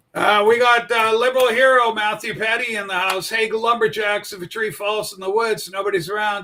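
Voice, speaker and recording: Delivered at a moderate pace, the voice is raised and projected with a bright, sharp tone. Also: man. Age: 60s. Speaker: political livestream host. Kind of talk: casual political commentary livestream.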